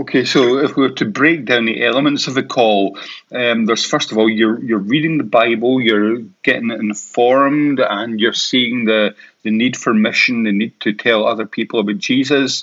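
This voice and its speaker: With a Scottish accent, a man talks at a moderate pace and medium pitch, his intonation fairly even and his loudness very even. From Scotland, Paisley. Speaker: podcast host. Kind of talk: casual interview.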